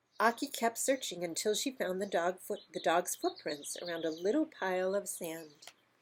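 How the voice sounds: Lively intonation marks a natural reading voice.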